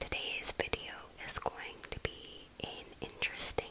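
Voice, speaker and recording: Over noticeable background noise, a woman is whispering at a fairly slow pace. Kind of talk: ASMR close-up whispered coloring video; casual talk to camera. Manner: soft, close-mic whisper, relaxing.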